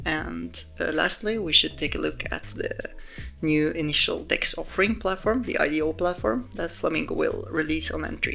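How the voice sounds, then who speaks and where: A man talks at a moderate pace. Music plays behind him. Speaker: crypto project developer. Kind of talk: software update walkthrough.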